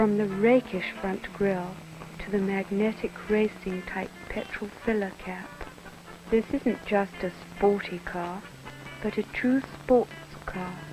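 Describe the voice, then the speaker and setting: Music in the background behind a woman's medium-pitched voice, very slow in pace, with long, frequent pauses. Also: fairly even intonation. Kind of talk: TV commercial read.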